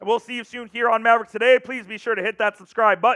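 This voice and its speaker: The tone is animated. Words come at a very fast pace. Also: man. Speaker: sports video host. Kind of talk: casual sports commentary.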